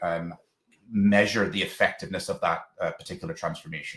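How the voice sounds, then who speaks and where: A man talks with a Northern Irish accent. His pitch is fairly low. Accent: Northern Irish twang. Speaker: education technology presenter, former local authority digital lead. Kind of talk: webinar presentation. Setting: online webinar. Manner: hesitant, many fillers and repeated words.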